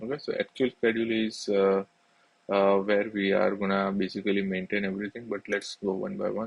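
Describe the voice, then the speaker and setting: A fairly low male voice, monotone and flat, at a fairly quick pace. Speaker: finance tutorial creator. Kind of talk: tutorial. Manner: many fillers and repetitions; fast.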